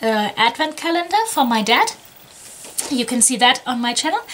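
The voice is raised and projected, swinging very widely in pitch. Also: woman. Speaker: jigsaw hobby vlogger. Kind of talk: casual vlog chat. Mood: cheerful, a bit scattered. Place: home room.

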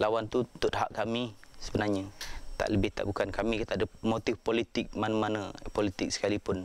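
A man talks at a fairly quick pace with a fairly low pitch and monotone, flat intonation. His loudness stays very even, and the sound is dry with no echo. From Malaysia, Pahang interior (Orang Asli village); Malaysia. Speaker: interviewee. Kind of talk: documentary interview testimony. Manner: halting, many fillers. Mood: earnest, aggrieved. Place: open country. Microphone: lapel.

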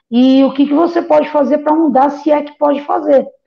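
A woman's speech runs at a fairly quick pace over a quiet background. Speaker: guest. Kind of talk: interview answer. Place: home room. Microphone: earbuds.

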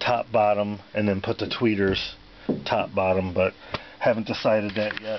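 Over light background noise, a man talks at a moderate pace in a fairly low pitch, with monotone, flat intonation. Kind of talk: casual vlog chat. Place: car. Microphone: phone near.

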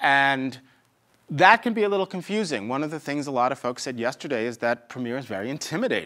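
The background is quiet. A man talks with very wide pitch swings. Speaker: software tutorial instructor. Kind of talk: tutorial. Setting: screen recording. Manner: fast talker; informal, humorous asides. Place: studio.

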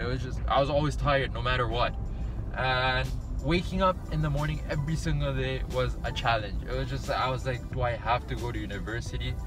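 A man talks at a fairly quick pace. Clear music can be heard behind him. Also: dry sound with no echo. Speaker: medical student vlogger. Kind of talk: casual vlog chat. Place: car. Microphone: phone near.

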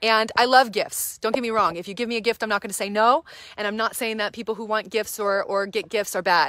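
Speaking at a very fast pace, a woman uses a fairly high pitch and a bright, sharp, animated tone. The background is quiet and the sound dry with no echo. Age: 30s. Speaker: reverend and nonprofit church director. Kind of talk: live-stream fundraising appeal. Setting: live social media video. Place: garden. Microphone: phone near.

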